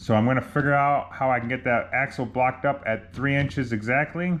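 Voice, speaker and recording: A man of medium pitch at a moderate pace, an unremarkable speaking voice, quiet background. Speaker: DIY car builder, garage channel host. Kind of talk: casual workshop vlog, talking to camera. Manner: casual, thinking aloud with self-corrections.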